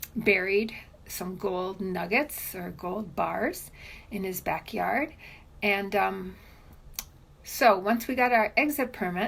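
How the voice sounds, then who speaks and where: A woman at medium pitch speaks with vocal fry and ordinary pitch variation. Her pace is very slow, with long, frequent pauses. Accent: American. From Cuba, Havana; US from age 10. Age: 60s. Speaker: immigrant sharing story. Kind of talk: interview testimony. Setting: at home.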